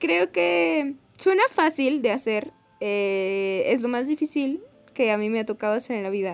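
Her pitch is fairly high and swings very widely. The woman talks at a fairly slow pace. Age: young. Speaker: podcast co-host. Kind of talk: casual chat.

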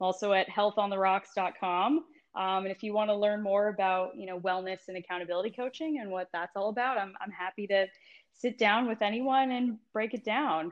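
Speaking with an American accent, a woman uses an ordinary speaking voice at medium pitch with ordinary pitch variation and a fairly quick pace. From California. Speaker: wellness coach and yoga teacher. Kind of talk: casual interview.

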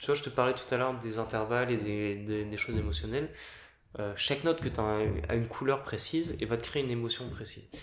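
Using a plain, everyday voice, a man speaks at a fairly quick pace with ordinary pitch variation. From Paris, France. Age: 30s. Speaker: pianist. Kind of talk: casual interview.

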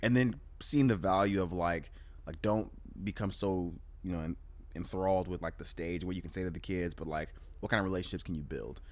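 A man with a very deep, low voice and an American accent, talking at a fairly quick pace. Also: ordinary pitch variation. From California. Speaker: preacher and poet. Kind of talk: casual chat. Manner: animated.

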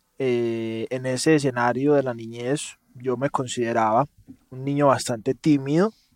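In a Paisa accent, a man of medium pitch talks at a fairly slow pace with fairly even intonation. The sound is dry and close, with no echo. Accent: Paisa Colombian, noticeable. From Colombia, Medellín (paisa). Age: 30s. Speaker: entrepreneur. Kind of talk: interview conversation.

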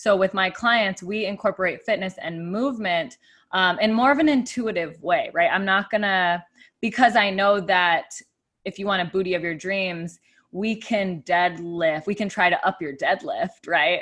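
A woman with a normal speaking voice and medium pitch talks at a moderate pace. Her pitch variation is ordinary, and the background is quiet. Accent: American. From Arizona, US (Tucson). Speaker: fitness, breath and meditation coach. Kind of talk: casual chat. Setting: studio.

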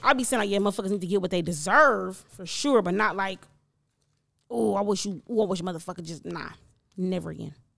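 A woman talks at a very fast pace in an animated tone, her medium-pitched voice showing vocal fry and big swings in loudness. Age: 30s. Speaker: podcast host. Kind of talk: casual chat.

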